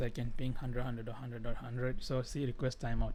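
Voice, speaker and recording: A man talks very fast at medium pitch with a dark, mellow tone. His intonation is monotone and flat, with audible room echo. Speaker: IT tutorial host. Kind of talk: tutorial. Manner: halting.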